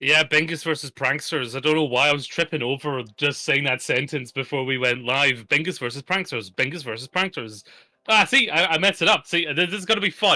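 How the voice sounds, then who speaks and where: A man talks fairly quickly, with hardly any pauses, at a fairly high pitch and a bright, sharp tone. The recording is very clean, with a silent background. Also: ordinary pitch variation. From Scotland. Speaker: esports caster. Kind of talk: live commentary. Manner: animated.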